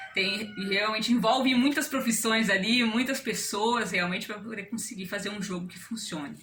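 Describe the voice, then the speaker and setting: A woman talks with ordinary pitch variation, her voice carrying audible room echo amid noticeable background noise. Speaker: amateur game developer. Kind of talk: casual explanation. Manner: fast.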